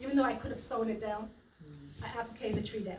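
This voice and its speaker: A woman speaks in a New York accent with audible room echo. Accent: New York twang. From US Virgin Islands, earlier New York. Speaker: quilter. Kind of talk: talk at a quilt trunk show.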